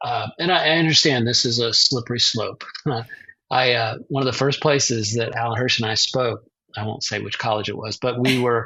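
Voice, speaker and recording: A normal speaking voice: a man at medium pitch, fairly even intonation, moderate pace. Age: 60s. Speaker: author and publisher. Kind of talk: interview.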